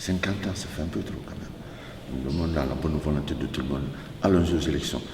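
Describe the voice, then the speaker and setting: A man with a very deep, low pitch speaks at a fairly quick pace. Noticeable background noise and audible room echo surround him. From Guinea. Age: 60s. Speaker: community representative. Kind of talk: interview. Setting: meeting room.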